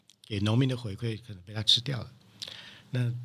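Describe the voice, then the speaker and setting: A man's voice at a fairly low pitch. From Taiwan, Taichung. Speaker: coffee producer and importer. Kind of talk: interview. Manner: halting, many fillers.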